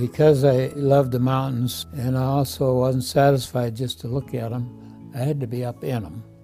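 A man talks at a moderate pace with fairly even intonation while faint music plays in the background. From Iowa, USA. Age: 80s+. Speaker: Navy veteran, nursing home resident. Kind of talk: testimonial interview. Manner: relaxed, hesitant. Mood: warm, content, reflective. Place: home room. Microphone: lapel.

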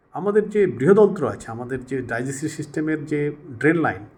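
A man's voice with lively intonation. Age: 60s. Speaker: health vlogger. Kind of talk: informal talk to camera. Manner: halting, many pauses and restarts.

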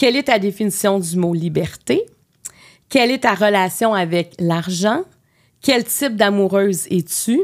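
With a Quebec accent, a woman speaks at a medium pitch and a fairly slow pace. She leaves long, frequent pauses against a quiet background. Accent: Québécois French. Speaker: podcast host. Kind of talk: interview. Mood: warm, gentle. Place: studio. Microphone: studio mic.

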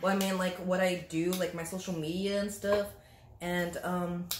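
Speech comes at a moderate pace over noticeable background noise. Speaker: guest. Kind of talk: casual vlog chat. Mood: playful, laughing. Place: home room. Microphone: camera far.

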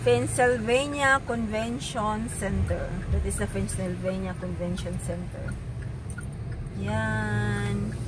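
A woman speaks very slowly over noticeable background noise. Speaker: passenger vlogger. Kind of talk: casual vlog chat. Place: car. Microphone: phone near.

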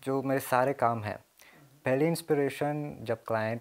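The voice here is a man's. He keeps his intonation fairly even. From Mauritius. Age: 20s. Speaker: graphic design student; interviewee. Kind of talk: interview. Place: home room.

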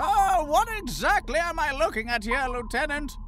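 A man's put-on character voice, extremely high in pitch, at a moderate pace with clear background noise. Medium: dub.

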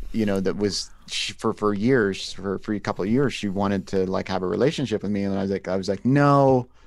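A man's fairly low, ordinary speaking voice with ordinary pitch variation, on a very clean recording with a silent background. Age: 40s. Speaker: film director and podcaster with vision loss. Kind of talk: casual interview conversation.

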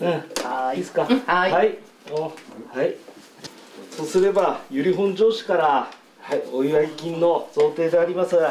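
At a high pitch and fairly slow pace, a man speaks with ordinary pitch variation and long, frequent pauses, with audible room echo and light background noise. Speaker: city mayor. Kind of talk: formal congratulatory address. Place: home room.

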